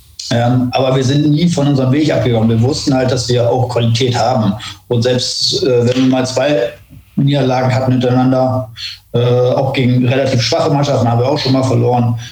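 A man at medium pitch with monotone, flat intonation, very even loudness and a fairly quick pace, amid audible room echo and noticeable background noise. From northern Germany. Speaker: former footballer. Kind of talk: casual football talk. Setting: remote call.

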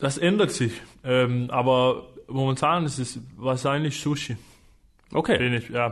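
A man of medium pitch speaks very slowly with a Danish accent. His intonation is fairly even, with long, frequent pauses. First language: Danish (speaking German). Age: 20s. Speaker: professional handball player. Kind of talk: casual interview. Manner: halting, searching for words.

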